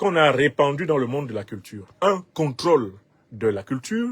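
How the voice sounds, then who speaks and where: In a Cameroonian accent, a man speaks at a moderate pace with medium pitch. His voice is somewhat breathy and his intonation lively. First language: Bassa (speaking French). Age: 50s. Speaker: political commentator. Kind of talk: political commentary monologue.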